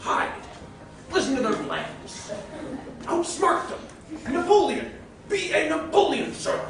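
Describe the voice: Putting on a character voice, a man talks slowly at an extremely high pitch with big pitch swings, vocal fry, a fairly bright tone and strong room echo.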